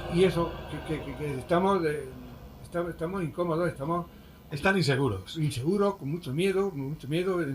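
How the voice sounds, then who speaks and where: Over noticeable background noise, a man speaks at a fairly quick pace and high pitch with ordinary pitch variation. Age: 70s. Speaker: shop owner. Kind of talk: interview. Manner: halting, repetitive.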